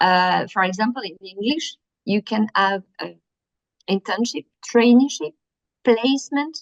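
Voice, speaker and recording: A woman with a French accent speaks in a fairly high pitch, leaving long, frequent pauses. The sound is dry and close, with no echo. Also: lively intonation, big swings in loudness. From France. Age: 50s. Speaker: workshop presenter. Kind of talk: workshop presentation. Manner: halting, many fillers.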